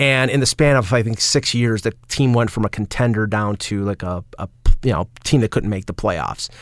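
A man with a Buffalo accent speaks at a moderate pace and medium pitch, with ordinary pitch variation. The recording is very clean, with a silent background and a dry, close sound with no echo. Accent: Buffalo, western New York. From Buffalo, western New York. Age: 50s. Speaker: sports writer and radio caller. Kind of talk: casual chat. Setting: studio.

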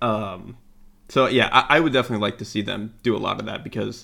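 The speaker has an American accent and vocal fry. Delivery is fairly quick with fairly even intonation. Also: man. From Florida. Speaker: football analyst. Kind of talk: casual football analysis chat.

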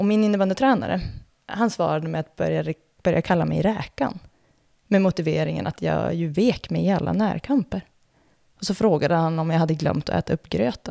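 A woman's dark, mellow voice sits fairly low, with vocal fry and lively intonation. She speaks at a fairly quick pace in a dry, close sound with no echo. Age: 30s. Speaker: former elite floorball player and reporter. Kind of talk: scripted narration.

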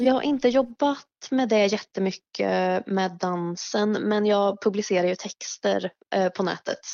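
This woman has an ordinary speaking voice at medium pitch, with ordinary pitch variation. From Mariestad, western Sweden. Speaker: writer and dancer. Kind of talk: casual interview. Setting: phone call.

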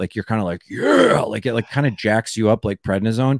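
A man with a plain, everyday voice and a fairly low pitch talks with ordinary pitch variation, recorded very cleanly over a silent background in a dry, close sound with no echo. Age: 40s. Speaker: comedian. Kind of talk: casual chat.

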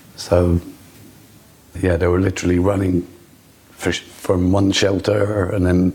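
A man speaks in a very deep, low voice with flat, monotone intonation at a moderate pace. Noticeable background noise is present. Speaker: father of a hostage. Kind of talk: emotional interview. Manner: halting, emotional.

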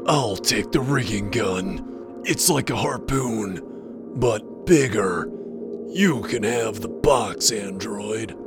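Over loud music in the background, a man does a put-on character voice at medium pitch and a very slow pace. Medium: actual play. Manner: boastful, dim.

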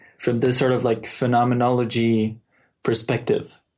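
This man speaks at a moderate pace in a Mexican accent. His pitch sits at a medium level. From Mexico City. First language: Spanish. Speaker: software developer. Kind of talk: casual chat. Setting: remote call.

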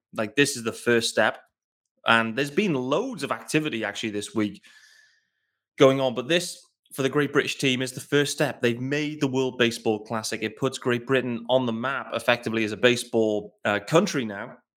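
On a very clean recording with a silent background, a man with an English accent talks at a fairly quick pace, his medium pitch varying in an ordinary way. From England. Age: 30s. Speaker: sports podcast host. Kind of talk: solo podcast commentary. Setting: home recording in living room.

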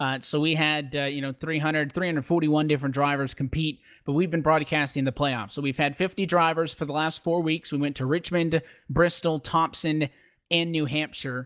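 A man's fairly high, normal speaking voice at a fairly quick pace with fairly even intonation. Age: 20s. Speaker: esports racing commentator. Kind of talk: interview.

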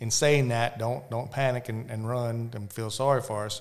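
This man talks at a fairly quick pace with a Southern US accent and a medium pitch. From US South. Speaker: real estate broker, hunter. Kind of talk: casual chat. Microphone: too far from the mic.

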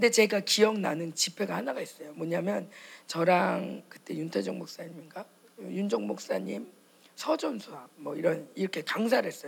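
A woman talks at a moderate pace, her loudness swinging widely, while noticeable background noise runs underneath. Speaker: pastor's wife preacher. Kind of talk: sermon and prayer. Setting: church conference with audience. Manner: animated, fervent.

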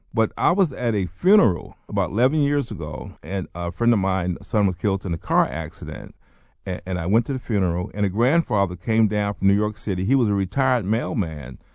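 A man talks in a normal speaking voice with an American accent, his pitch fairly low. The background is quiet. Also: fairly quick pace. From US South, North Carolina. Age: 60s. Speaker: author and playwright. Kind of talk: interview.

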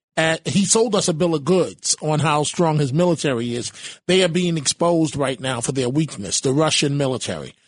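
Over a quiet background, a normal speaking voice moves at a fairly quick pace with ordinary pitch variation. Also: man, fairly high pitch for a man. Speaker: radio talk show host and political journalist. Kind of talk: talk radio discussion.

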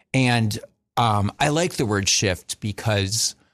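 An ordinary speaking voice with ordinary pitch variation, dry and close with no echo, in a very clean recording with a silent background. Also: man. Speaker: painter. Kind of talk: radio interview. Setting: studio.

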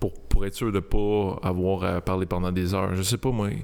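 A man's fairly low-pitched voice at a fairly quick pace, with ordinary pitch variation. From Montreal, Quebec (Saint-Léonard). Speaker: comedy video creator, former police officer. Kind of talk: casual chat. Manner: calm, composed.

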